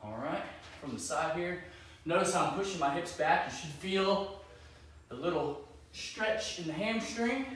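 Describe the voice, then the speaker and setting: Against light background noise and strong room echo, a man speaks at a moderate pace with a high pitch and lively intonation. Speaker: fitness coach. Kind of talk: tutorial. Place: garage.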